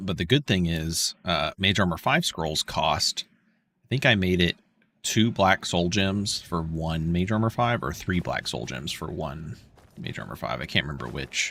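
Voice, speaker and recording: With a bright, sharp tone and vocal fry, a man speaks at a very deep, low pitch in a dry, close sound with no echo. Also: lively intonation, moderate pace. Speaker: video game streamer. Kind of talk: livestream gameplay commentary. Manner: casual; quiet.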